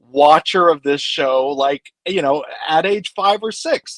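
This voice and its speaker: This is a plain, everyday voice: a man with an American accent, a fairly high pitch and ordinary pitch variation. He talks at a moderate pace in a dry, close sound with no echo. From Kansas (Wichita). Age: 40s. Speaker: film author. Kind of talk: casual chat.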